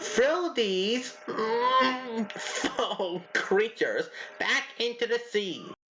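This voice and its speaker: Clear background noise sits behind a cartoonish character voice pitched fairly high. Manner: fussy, flustered.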